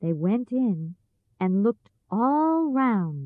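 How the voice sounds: Quiet background, natural reading voice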